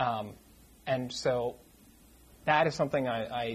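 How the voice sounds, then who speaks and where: A somewhat breathy voice with an American accent. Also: man. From US New England, Lincoln, Massachusetts near Boston. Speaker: curate, church trainee. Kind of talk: casual interview before a church audience. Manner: halting, repeated words.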